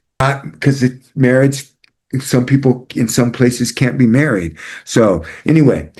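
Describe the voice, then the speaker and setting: A medium-pitched man with an American accent, vocal fry, very even loudness and ordinary pitch variation. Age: 60s. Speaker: psychology professor. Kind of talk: lecture. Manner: halting.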